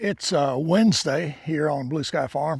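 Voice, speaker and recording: This man's voice is fairly high and somewhat breathy. He talks at a moderate pace with ordinary pitch variation. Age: 70s. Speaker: farmer. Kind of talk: casual vlog narration.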